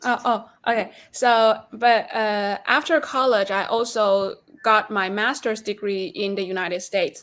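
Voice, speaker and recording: This woman talks at a fairly slow pace in a fairly high pitch. The recording is very clean, with a silent background. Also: ordinary pitch variation. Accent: Chinese. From China. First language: Chinese. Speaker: reporter. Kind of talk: interview answers.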